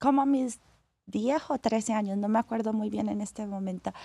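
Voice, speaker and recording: A woman with a fairly high pitch and an ordinary speaking voice talks at a fairly slow pace with ordinary pitch variation, recorded dry and close with no echo. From Colombia, Cali. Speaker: professional acrobatic dancer. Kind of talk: interview.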